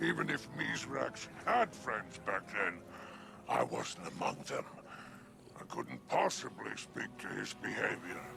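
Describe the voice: Over faint background noise, a man does a put-on character voice with a bright, sharp tone, a fairly low pitch, big pitch swings, vocal fry and a fairly slow pace.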